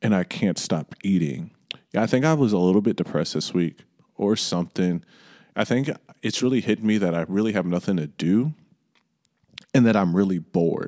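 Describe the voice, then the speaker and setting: A man with an American accent, fairly low in pitch and dark, mellow in tone, with lively intonation, a fairly quick pace and long, frequent pauses, in a dry, close recording with no echo. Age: 20s. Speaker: podcast host. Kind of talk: casual monologue. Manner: casual, rambling.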